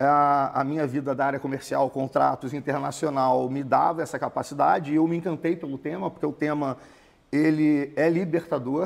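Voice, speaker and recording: Captured in a very clean recording with a silent background, a man in a Carioca accent speaks at a moderate pace and a fairly high pitch with fairly even intonation. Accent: Carioca (Rio de Janeiro) Portuguese. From Rio de Janeiro, Brazil. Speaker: immigration consultancy founder. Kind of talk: interview. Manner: conversational.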